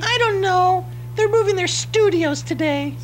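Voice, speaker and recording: In a squeaky, cartoonish character voice, a man speaks at a moderate pace over clear background noise. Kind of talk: deadpan puppet satire. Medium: puppet show. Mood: shrugging.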